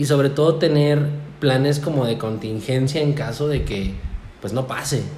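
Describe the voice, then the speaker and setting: Through audible room echo and noticeable background noise, a man speaks at a moderate pace with a fairly high pitch and ordinary pitch variation. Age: 20s. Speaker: café owner. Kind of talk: casual chat.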